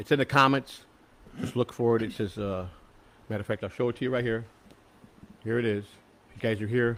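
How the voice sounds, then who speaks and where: This man has an American accent and a medium pitch with fairly even intonation. He talks at a fairly quick pace with long, frequent pauses. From Chicago. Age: 60s. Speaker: political candidate. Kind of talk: casual chat.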